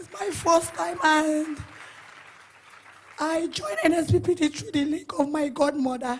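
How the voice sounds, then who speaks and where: Fairly slow speech in a Nigerian accent. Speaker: church member giving testimony. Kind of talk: testimony. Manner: emotional.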